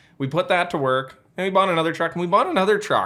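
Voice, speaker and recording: A man talks in an animated tone with lively intonation. Noticeable background noise is present. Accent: strong Western Canadian. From Western Canada prairies. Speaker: electric truck company founder. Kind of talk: podcast interview. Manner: casual, animated.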